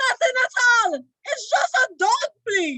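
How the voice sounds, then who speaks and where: A put-on character voice, squeaky and fairly slow. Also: woman. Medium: read story. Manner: sly, ingratiating.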